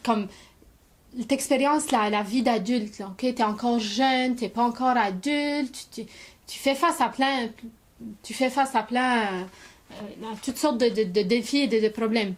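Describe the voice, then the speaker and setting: Her pace very slow, a woman speaks at a fairly high pitch with fairly even intonation. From Lebanon. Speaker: immigrant. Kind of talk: personal testimony to camera.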